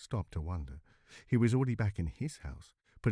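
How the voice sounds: Lively intonation marks a natural reading voice heard over a quiet background.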